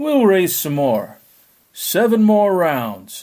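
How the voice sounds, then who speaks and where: At a very slow pace, the speaker uses a put-on character voice at a middle pitch. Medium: read story.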